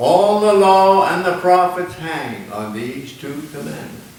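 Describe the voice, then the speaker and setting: Over noticeable background noise, a man talks in a high voice with very wide pitch swings. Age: 80s+. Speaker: minister. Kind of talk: sermon.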